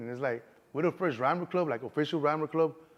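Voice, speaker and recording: A man with a slight Mexican accent speaks at a very fast pace. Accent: slight Mexican Spanish tinge. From Chicago, Southwest Side. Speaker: actor and car club founder. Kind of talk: interview. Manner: casual, filler-heavy.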